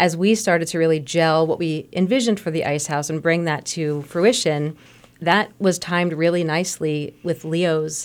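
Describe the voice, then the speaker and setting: Speaking at a moderate pace, a woman has an unremarkable speaking voice pitched fairly low. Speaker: arts advocate. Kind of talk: casual radio conversation. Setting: radio studio.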